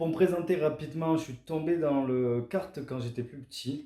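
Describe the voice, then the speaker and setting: In a southern French accent, a man speaks at a fairly slow pace with a dark, mellow tone. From southern France. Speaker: amateur karting driver and vlogger. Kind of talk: scripted vlog narration. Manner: casual, conversational.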